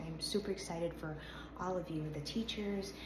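A woman over noticeable background noise. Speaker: modeling coach. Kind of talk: tutorial. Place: home room. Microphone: phone near.

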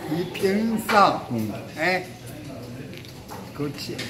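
Lively intonation over music in the background. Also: man. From China, Shandong. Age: 80s+. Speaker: war veteran, Chinese restaurant owner. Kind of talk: interview answer. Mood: warm, smiling. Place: home room.

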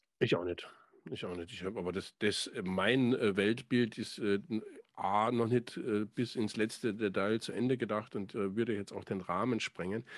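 A man speaks at a moderate pace and a fairly low pitch, with fairly even intonation. The sound is dry with no echo, and the background is quiet. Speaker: podcast host and songwriter; podcast host. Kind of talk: casual chat. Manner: hesitant, many fillers. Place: home room. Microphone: studio mic.

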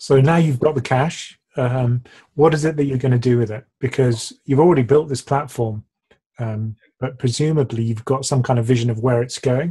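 Over a quiet background, a man speaks in a dark, mellow tone that is somewhat breathy. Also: fairly even intonation, moderate pace. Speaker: finance YouTuber. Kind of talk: interview. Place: home room. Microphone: webcam.

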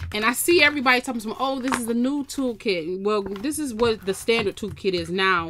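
Light background noise sits behind a woman's voice. She speaks at a moderate pace with ordinary pitch variation. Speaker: craft channel host. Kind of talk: casual unboxing haul chat. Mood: relaxed, amused.

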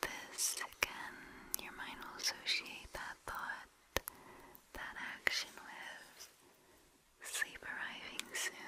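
A woman whispering at a very slow pace, with long, frequent pauses. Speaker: relaxation video host. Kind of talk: soft-spoken guided relaxation. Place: home room. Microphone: studio mic.

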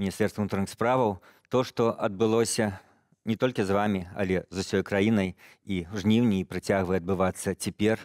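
Against a quiet background, a man speaks in a fairly low pitch with fairly even intonation and a dry sound with no echo. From Belarus. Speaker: TV news interviewer. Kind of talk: interview. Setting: studio. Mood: serious, calm. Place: studio. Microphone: headset.

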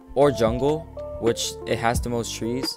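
A man talks very slowly, backed by music. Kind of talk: gaming tutorial voiceover. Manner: slow, hesitant.

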